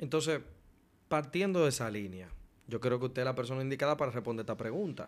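Talking very fast, a man uses lively intonation. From Dominican Republic. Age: 20s. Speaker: podcast host. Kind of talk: interview. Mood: polite, respectful, engaged. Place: studio. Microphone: studio mic.

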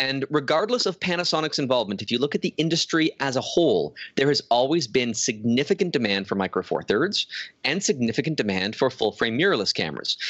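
Very wide pitch swings at a very fast pace, against a quiet background. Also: man, fairly high pitch for a man. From Canada. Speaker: photographer. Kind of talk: casual chat. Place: home room. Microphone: studio mic.

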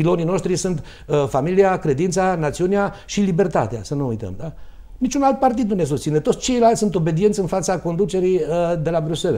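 Against a quiet background, a man speaks in a high-pitched voice with a dark, mellow tone and lively intonation. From Romania, Târgu Mureș; Romania. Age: 50s. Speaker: doctor and mayoral candidate; candidate. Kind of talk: political debate. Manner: halting. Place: studio. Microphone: lapel.

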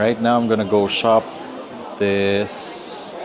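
A man speaks at a very slow pace with noticeable background noise. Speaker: coffee vlogger. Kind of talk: casual vlog chat. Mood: relaxed, undecided. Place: shop. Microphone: lapel.

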